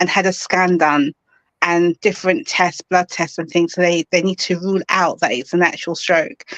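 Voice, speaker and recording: Medium-pitched female voice in a London accent, with a dry, close sound and no echo. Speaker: author. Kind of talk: interview.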